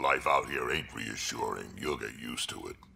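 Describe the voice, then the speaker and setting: A man growls in a put-on character voice at a moderate pace. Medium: video game. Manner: blunt, gruff, crude.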